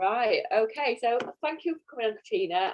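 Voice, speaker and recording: A woman with a Yorkshire accent at a fairly quick pace. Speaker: course interviewer. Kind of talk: interview on live stream. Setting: video call.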